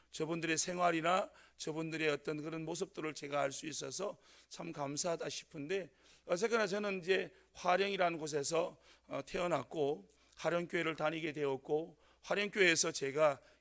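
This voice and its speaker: A man speaks in a strong Gyeongsang accent at a fairly high pitch. His intonation is fairly even and his pace moderate. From North Gyeongsang, Korea (Sangju). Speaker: pastor. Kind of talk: sermon. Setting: church. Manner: hesitant, many fillers.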